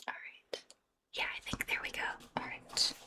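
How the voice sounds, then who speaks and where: Speaking in a whisper, a woman keeps a moderate pace. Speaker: ASMR artist. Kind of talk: ASMR roleplay, whispered makeup session. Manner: whispered, soft-spoken.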